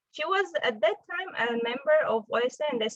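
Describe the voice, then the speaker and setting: Speaking at a fairly quick pace, a woman talks with an Armenian accent. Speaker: physicist, postdoctoral researcher. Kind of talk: invited talk. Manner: halting, with fillers.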